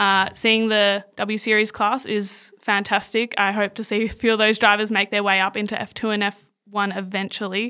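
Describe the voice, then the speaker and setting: A woman speaks at a moderate pace with an Australian accent, her medium-pitched voice bright and sharp. Her intonation stays flat and monotone in a very clean recording with a silent background. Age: 20s. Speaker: social media coordinator. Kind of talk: interview.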